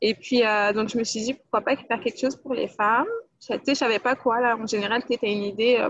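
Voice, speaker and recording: A woman speaks in a plain, everyday voice at a fairly quick pace, her fairly high pitch carried by fairly even intonation. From France, Guadeloupean family. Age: 20s. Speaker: employment counsellor and women's platform creator. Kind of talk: casual interview chat.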